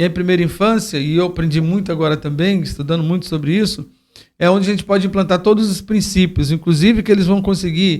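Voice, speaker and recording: This man talks at a very fast pace with a high pitch and fairly even intonation. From Brasília, Brazil. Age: 60s. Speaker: football coach and educator for youth. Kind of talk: interview conversation. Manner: halting, with repeated fillers.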